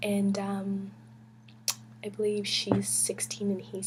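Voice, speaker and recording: Over noticeable background noise, a woman talks fairly slowly at a medium pitch. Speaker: book vlogger. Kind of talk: casual chat. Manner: whispering; hesitant, many fillers.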